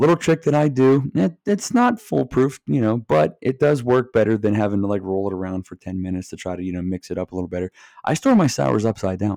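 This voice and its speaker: A man talks at a very fast pace with hardly any pauses, his pitch fairly low and his intonation lively. His tone is dark and mellow, recorded dry and close with no echo against a quiet background. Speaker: podcast host. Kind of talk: casual solo podcast chat. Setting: home recording behind a mic. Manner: halting, trips over words.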